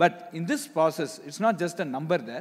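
This man's voice sits high in pitch as he talks at a moderate pace. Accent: Indian. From India. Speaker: institute director. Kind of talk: panel discussion. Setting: stage with audience. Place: stage. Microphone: handheld.

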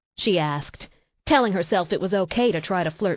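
Heard over a quiet background, this is an unforced reading voice.

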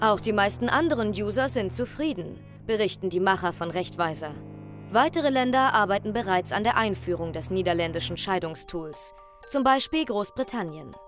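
With music in the background, a woman speaks at a moderate pace in a medium pitch with very wide pitch swings. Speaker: narrator of a TV report. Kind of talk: documentary report voice-over.

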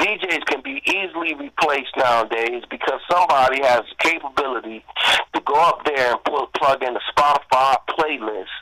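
Against noticeable background noise but with a dry, close sound and no echo, a man speaks at a fairly high pitch with ordinary pitch variation. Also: moderate pace. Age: 40s. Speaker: hip-hop artist. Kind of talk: casual interview.

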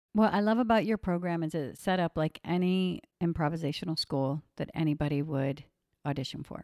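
In a very clean recording with a silent background and a dry, close sound free of echo, a woman with a plain, everyday voice speaks at a fairly low pitch and a fairly quick pace, with ordinary pitch variation. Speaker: podcast host. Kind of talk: casual chat.

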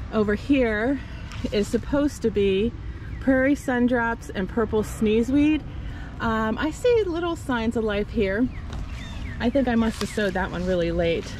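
A woman speaks at a fairly slow pace with ordinary pitch variation, her dry sound free of echo over light background noise. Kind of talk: casual garden tour narration. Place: garden. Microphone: phone near.

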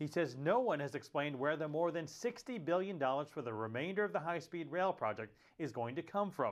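An ordinary speaking voice, this man has a fairly high pitch, lively intonation and a fairly quick pace. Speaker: news reporter. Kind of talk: news report narration. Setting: on location in California.

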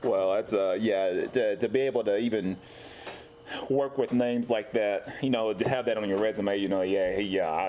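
Noticeable background noise sits behind the voice. A man speaks at a moderate pace. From Tennessee. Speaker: podcast host. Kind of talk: casual interview. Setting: comic book coffee bar. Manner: halting, many fillers. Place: shop.

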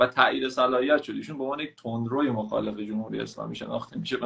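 A man is speaking. His pace is very fast. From Iran. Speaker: caller. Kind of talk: casual chat. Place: home room. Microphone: video call.

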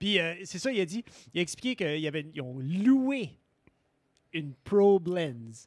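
In a dry sound with no echo and a quiet background, a man with a high pitch speaks at a very slow pace, using very wide pitch swings and long, frequent pauses. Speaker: podcast co-host. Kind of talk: casual chat. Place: studio. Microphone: studio mic.

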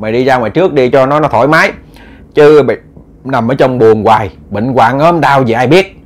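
A passage in plain reading aloud

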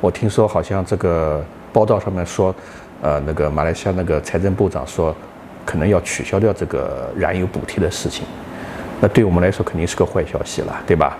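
Noticeable background noise under a fairly quick delivery and fairly even intonation. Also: man, very deep, low pitch for a man. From China. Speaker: partner of host, expat living in Malaysia; vlogger. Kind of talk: casual chat. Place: home room. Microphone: lapel.

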